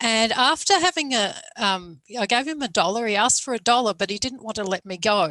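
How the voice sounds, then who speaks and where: A woman speaks with an Australian accent at a moderate pace. The sound is dry and close, with no echo. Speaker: academic moderator. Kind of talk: panel discussion. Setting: video call.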